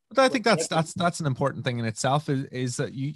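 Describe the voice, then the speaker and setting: A man talks with a Northern Irish accent. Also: quiet background, dry sound with no echo. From Northern Ireland, Omagh. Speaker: DJ and musician. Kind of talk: interview answer. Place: home room. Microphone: studio mic.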